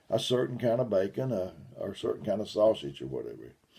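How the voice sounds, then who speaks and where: A man talks at a fairly quick pace with a medium pitch and vocal fry. His tone is dark and mellow. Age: 70s. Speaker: lay preacher. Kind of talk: sermon.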